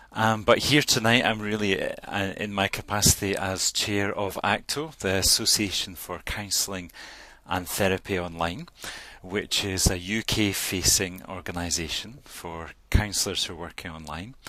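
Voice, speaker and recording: A man speaks with a Scottish accent at a moderate pace. His voice is fairly low in pitch, with a bright, sharp tone and ordinary pitch variation. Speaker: counsellor and association chair. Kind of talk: panel introduction in online town hall. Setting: virtual meeting.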